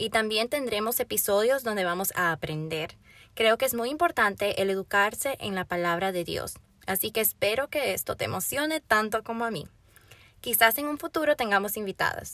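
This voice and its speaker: At a moderate pace, a woman talks in a fairly high, bright, sharp voice with lively intonation, recorded very cleanly with a silent background and a dry, close sound with no echo. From Florida, Dominican family. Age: young. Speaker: podcast host and youth pastor. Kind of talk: personal introduction monologue.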